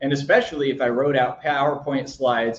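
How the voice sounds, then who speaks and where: Amid audible room echo, a man speaks at a moderate pace with a fairly high, somewhat breathy voice. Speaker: video marketing coach; online marketing creator. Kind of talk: tutorial. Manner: occasional stumbles.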